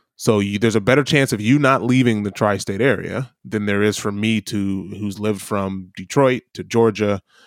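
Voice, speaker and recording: This speaker has a Midwestern American accent and a fairly even intonation. The recording is very clean, with a silent background. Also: man. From US Midwest. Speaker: podcast co-host. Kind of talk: casual chat.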